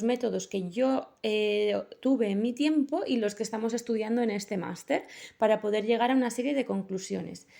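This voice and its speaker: A woman with a high pitch and a dark, mellow tone speaks at a moderate pace. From Basque Country, Bilbao. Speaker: master's student interviewer. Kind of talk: student interview. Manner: halting.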